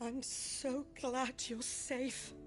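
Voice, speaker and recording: A woman does a put-on character voice at a high pitch, with clear background noise. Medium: video game. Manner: brisk, no-nonsense.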